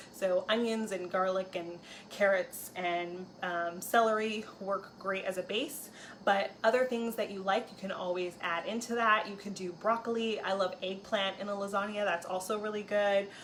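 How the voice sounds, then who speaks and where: This is a woman with an ordinary speaking voice. Her pitch is medium and her intonation fairly even. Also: moderate pace. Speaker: cooking video host. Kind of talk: cooking tutorial. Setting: home kitchen. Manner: casual with fillers.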